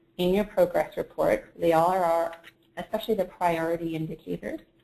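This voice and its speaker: A woman speaks at a moderate pace in a medium pitch with ordinary pitch variation and a Canadian accent. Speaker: webinar presenter. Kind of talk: software tutorial webinar. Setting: online webinar broadcast.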